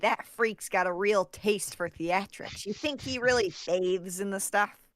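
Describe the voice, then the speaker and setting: A nasal, put-on character voice, female-sounding, medium in pitch, at a moderate pace. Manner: giggly, mocking.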